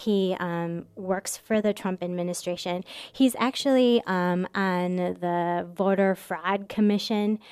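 A woman at a very slow pace with hardly any pauses and fairly even intonation, on a very clean recording with a silent background. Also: medium pitch for a woman. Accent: US Midwestern. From Michigan, US Midwest. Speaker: immigration lawyer and advocacy director. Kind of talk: radio interview. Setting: radio studio.

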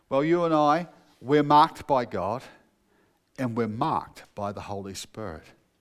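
His pitch swings very widely as a man talks at a moderate pace. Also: long, frequent pauses, big swings in loudness. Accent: New Zealand. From New Zealand, North Otago. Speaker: pastor. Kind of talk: sermon.

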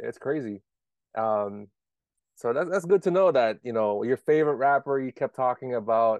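With an American accent and an ordinary speaking voice, a man speaks at medium pitch and a moderate pace with lively intonation, the sound dry and close with no echo over a quiet background. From Maryland (DMV area). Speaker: podcast host. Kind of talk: casual chat.

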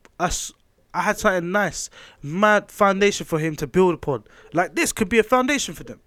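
This man's voice sits high in pitch and moves at a fairly quick pace with lively intonation and big swings in loudness. The recording is very clean, with a silent background. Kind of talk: casual chat.

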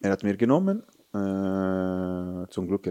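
With an Italian accent, a man speaks in a very deep, low pitch with a dark, mellow tone and ordinary pitch variation, the sound dry and close with no echo on a very clean recording with a silent background. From Italy, Rome. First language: Italian (speaking German). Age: 30s. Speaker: football goalkeeping coach. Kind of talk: casual interview. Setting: stadium. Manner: animated.

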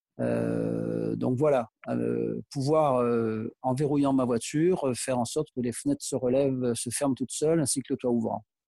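The recording is dry and close with no echo, and a man talks at a fairly slow pace with hardly any pauses. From Provence, southern France (Aix-en-Provence). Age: 60s. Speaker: PE teacher and car owner. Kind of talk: interview. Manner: hesitant, many fillers.

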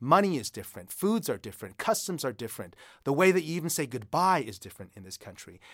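This man speaks at a very fast pace in a fairly high pitch, with vocal fry, very wide pitch swings and big swings in loudness, on a very clean recording with a silent background. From United States. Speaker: author and creative writing instructor. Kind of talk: interview about writing.

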